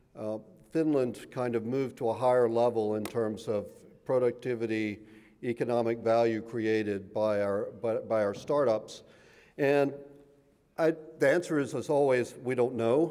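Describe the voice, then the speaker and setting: Audible room echo colors this man's moderately paced speech. His voice is medium in pitch and dark and mellow in tone, with ordinary pitch variation. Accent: American. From US South. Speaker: professor. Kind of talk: lecture. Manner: halting, many fillers and repeats.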